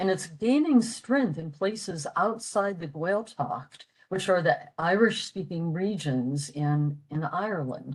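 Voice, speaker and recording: A woman with an American accent speaks at a fairly slow pace and medium pitch. Her voice is somewhat breathy, with lively intonation. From US, western Pennsylvania. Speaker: retired medical technologist, language enthusiast presenter. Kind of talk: presentation. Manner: hesitant with fillers.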